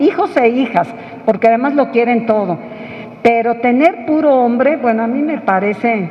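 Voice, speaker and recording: Lively intonation at a moderate pace, over noticeable background noise. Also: woman, high pitch for a woman. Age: 60s. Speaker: book presenter. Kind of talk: book presentation talk. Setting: press club event with audience.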